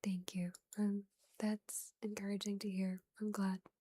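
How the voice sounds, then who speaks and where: A woman with a fairly high pitch and a dark, mellow, somewhat breathy tone speaks at a fairly slow pace, the sound dry and close with no echo. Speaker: ASMR streamer. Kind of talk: casual chat. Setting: live stream.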